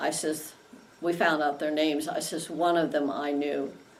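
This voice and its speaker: A woman speaks at a very deep, low pitch and a moderate pace, with fairly even intonation. Noticeable background noise runs underneath. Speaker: Vietnam-era navy nurse. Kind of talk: interview answer.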